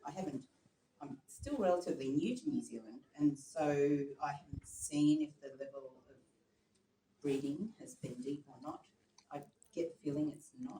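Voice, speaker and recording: With an Australian accent, a man speaks in a dark, mellow, somewhat breathy tone at a fairly high pitch, keeping ordinary pitch variation and a moderate pace while his loudness swings widely and long pauses come often. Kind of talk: meeting discussion. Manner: hesitant, filler-heavy.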